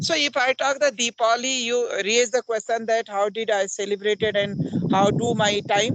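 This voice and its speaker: Amid noticeable background noise, the speaker keeps a moderate pace with ordinary pitch variation and very even loudness. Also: man, high pitch for a man. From India, Uttarakhand (Pauri Garhwal). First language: Garhwali (also Hindi). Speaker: English teacher. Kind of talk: English conversation practice.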